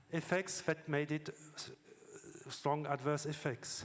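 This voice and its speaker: A man speaks at a fairly slow pace with a French accent. His voice sits fairly high for a man. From France. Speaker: scientist. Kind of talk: conference talk. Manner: halting, with fillers.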